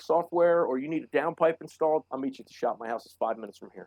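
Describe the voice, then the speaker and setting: A man talks at a very fast pace with fairly even intonation and a fairly high pitch. The sound is dry and close, with no echo. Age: 40s. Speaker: auto shop owner. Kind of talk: casual chat.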